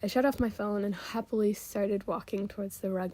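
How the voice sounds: This is a natural reading voice. The clip has a natural reading voice throughout.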